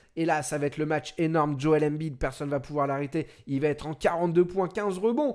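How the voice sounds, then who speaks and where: A man talks with a fairly high pitch, varying it in an ordinary way. The recording is very clean, with total silence in the background. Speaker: NBA show host, streamer. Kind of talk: live stream sports talk show. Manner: fast.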